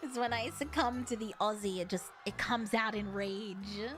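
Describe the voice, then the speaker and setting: The voice moves at a moderate pace with ordinary pitch variation. Music plays in the background. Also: woman, fairly high pitch for a woman. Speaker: streamer reading chat.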